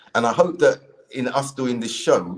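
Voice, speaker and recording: A man with a South London accent speaks at a medium pitch. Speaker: podcast host, convert to Islam. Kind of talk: casual chat.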